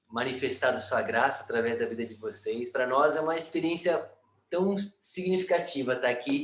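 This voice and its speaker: Lively intonation marks this man's voice. He keeps a moderate pace. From Brazil, São Paulo state (Sorocaba). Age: 30s. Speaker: missionary. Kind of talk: testimony. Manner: hesitant, many fillers.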